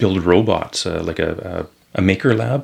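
In a Canadian accent, a man talks with a very deep, low pitch. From Saskatchewan, Canada. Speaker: municipal council candidate. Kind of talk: casual interview. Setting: studio.

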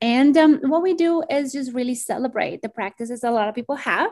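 A woman with a Spanish accent, lively intonation and a fairly slow pace over a quiet background. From Colombia, Bogota. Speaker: community organizer. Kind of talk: podcast interview.

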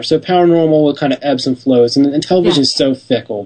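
A man speaks at a fairly quick pace in an unremarkable speaking voice. His pitch is fairly high, with ordinary pitch variation. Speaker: television producer. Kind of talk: interview.

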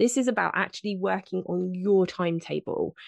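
A woman with a British accent speaks at a fairly quick pace in a medium pitch. The sound is dry and close with no echo, over a quiet background. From southern England. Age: 40s. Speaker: health and fitness coach. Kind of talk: interview.

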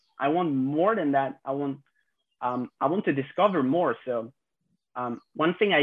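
Speaking fairly slowly with a French accent, a man talks at a fairly high pitch with ordinary pitch variation. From France. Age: 20s. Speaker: content creator. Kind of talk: casual chat. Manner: halting.

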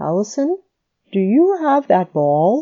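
A female-sounding voice puts on a gravelly character voice, fairly high in pitch with very wide swings. The delivery comes at a fairly slow pace.

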